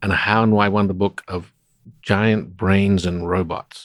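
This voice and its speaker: A man with an Australian accent, fairly low-pitched, at a moderate pace with fairly even intonation, on a very clean recording with a silent background. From South Australia (Adelaide). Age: 60s. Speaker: roboticist. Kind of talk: interview conversation. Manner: hesitant, many fillers.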